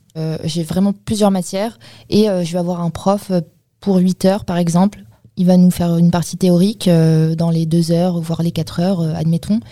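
At a moderate pace, a woman with a fairly low pitch speaks in a monotone with flat intonation. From Paris region, France. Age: 20s. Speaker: work-study student in IT. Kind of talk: interview. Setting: studio.

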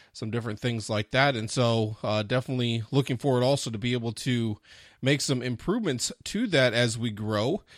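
In an ordinary speaking voice, a man talks at a fairly quick pace with medium pitch and fairly even intonation, recorded with a dry, close sound and no echo. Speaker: podcast host. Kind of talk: podcast intro and interview framing.

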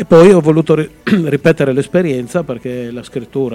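Pitch varies in the ordinary way, at a moderate pace. It is an ordinary speaking voice. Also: man. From Friuli, Italy (Udine). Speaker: author. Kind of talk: interview.

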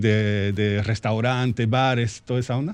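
A man at a medium pitch and a fairly slow pace, against a quiet background. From France, born in Argentina. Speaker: carpentry business owner. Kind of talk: radio interview. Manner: halting.

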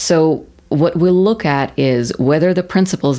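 A woman in a Russian accent with ordinary pitch variation. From Russia, Moscow. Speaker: banker. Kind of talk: interview.

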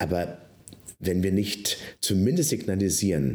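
A man speaks at a fairly low pitch. Room echo can be heard. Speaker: pastor and podcast co-host. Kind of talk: casual chat.

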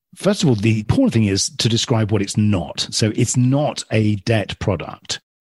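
The voice, with a southern English accent, is somewhat breathy, with very even loudness and hardly any pauses, in a dry, close sound with no echo. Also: man, medium pitch for a man, ordinary pitch variation, moderate pace. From southern England, near London. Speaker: real estate finance entrepreneur. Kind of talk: interview.

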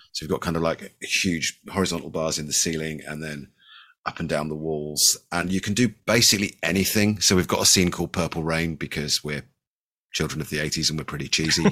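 Very deep and low yet bright and sharp in tone, a man's voice moves at a fairly quick pace with fairly even intonation. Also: very clean recording, silent background. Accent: West Country. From Bristol, England. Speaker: home theater designer. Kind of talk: casual chat.

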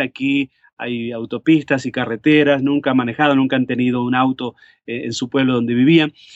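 Monotone, flat intonation at a moderate pace. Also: man. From Uruguay, Montevideo. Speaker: pastor. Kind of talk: interview. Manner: hesitant with many fillers.

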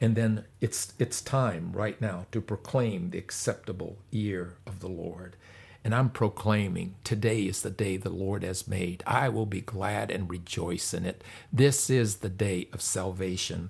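A man speaks in a fairly low pitch at a fairly slow pace. His voice is somewhat breathy, with fairly even intonation. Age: 70s. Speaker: pastor. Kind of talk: sermon.

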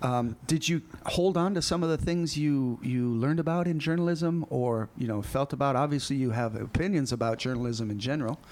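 In an unremarkable speaking voice, a man with fairly high pitch talks at a fairly quick pace with hardly any pauses, ordinary pitch variation and very even loudness. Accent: American. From United States. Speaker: teacher and school podcast host. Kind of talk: casual interview. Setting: school podcast recording.

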